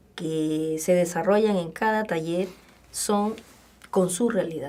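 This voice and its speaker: At a very slow pace, a woman talks with a fairly low pitch and ordinary pitch variation. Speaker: communication lecturer and workshop trainer. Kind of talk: radio interview.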